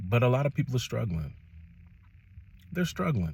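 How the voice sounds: A man with an American accent and a slightly mellow tone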